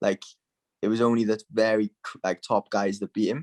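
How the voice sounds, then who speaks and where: With a Welsh accent, a man speaks in a fairly low, monotone, flat voice, recorded dry and close with no echo. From Wales. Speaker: MMA fighter. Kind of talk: casual interview. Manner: casual, filler-heavy.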